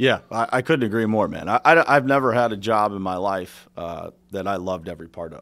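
A man in an ordinary speaking voice talks at a fairly quick pace with hardly any pauses, fairly low in pitch and lively in intonation. His loudness swings widely, and the recording is very clean with a silent background. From western Pennsylvania (Pittsburgh area). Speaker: business owner and contractor coach. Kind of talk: casual interview.

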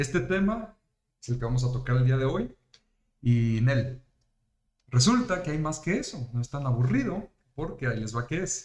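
A man with a Mexican accent speaks at a moderate pace and medium pitch, somewhat breathy. His intonation is lively, broken by long, frequent pauses. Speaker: podcast host. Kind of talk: casual chat. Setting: live stream. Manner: animated.

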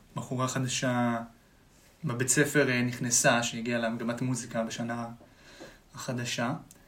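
A man talks in a flat monotone, leaving long and frequent pauses, with noticeable background noise behind him. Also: medium pitch for a man, fairly slow pace. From Israel, Tel Aviv. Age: 20s. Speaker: musician. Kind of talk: casual chat. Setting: studio.

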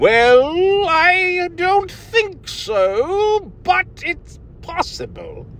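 A put-on character voice at an extremely high pitch, very slow pace, over light background noise. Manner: slow, drawn-out speech.

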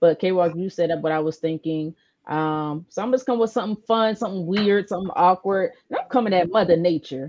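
A woman talks at a fairly quick pace in an unremarkable speaking voice. Her pitch is medium, with ordinary variation. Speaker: sports show host. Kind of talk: casual sports talk show banter.

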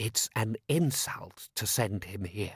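In a very clean recording with a silent background, a man puts on a character voice, fairly low-pitched with a husky, rough edge. He talks at a slow pace with lively intonation.

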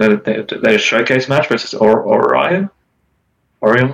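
A man at a moderate pace. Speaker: competitive gamer guest. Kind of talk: casual chat.

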